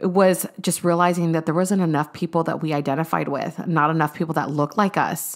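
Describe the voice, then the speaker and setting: At a fairly quick pace with hardly any pauses, a woman speaks in a plain, everyday voice that is fairly low in pitch, her intonation fairly even. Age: 20s. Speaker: podcast co-host, military wife and mom. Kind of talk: casual chat.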